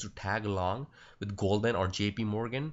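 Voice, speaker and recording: With a Punjabi accent, a man talks at a moderate pace in a fairly low pitch, his intonation fairly even. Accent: Indian Punjabi. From India, Punjab. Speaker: stock trading educator. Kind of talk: screen-recorded trading tutorial. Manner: halting, many fillers; casual.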